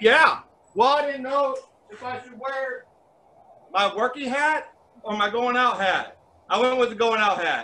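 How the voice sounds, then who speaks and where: A man with an extremely high pitch and a bright, sharp tone speaks in a raised, projected voice at a fairly slow pace, with big swings in loudness and long, frequent pauses. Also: ordinary pitch variation. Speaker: sign carver, first responder. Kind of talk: casual chat. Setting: video call.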